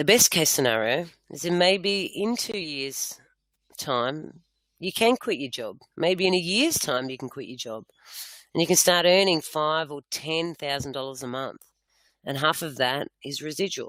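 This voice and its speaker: Speaking in an Australian accent, the voice moves along at a fairly slow pace. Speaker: network marketing presenter. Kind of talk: sales pitch. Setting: online webinar.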